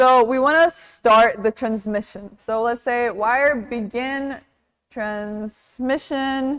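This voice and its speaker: A woman with a non-native accent speaks at a very slow pace in a high pitch, with fairly even intonation. The recording is very clean, with a silent background. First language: not English. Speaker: workshop instructor. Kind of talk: tutorial. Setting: live workshop with audience. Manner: casual, conversational.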